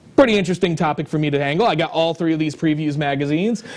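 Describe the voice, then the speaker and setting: Loud and animated, a man speaks in a high pitch. His pitch variation is ordinary. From New England. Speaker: comic book show host. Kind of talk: casual chat.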